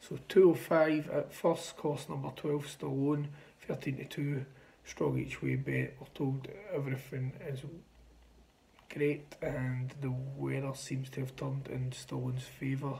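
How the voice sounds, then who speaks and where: A man's very slow, somewhat breathy delivery with monotone, flat intonation. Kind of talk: casual vlog chat. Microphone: phone near.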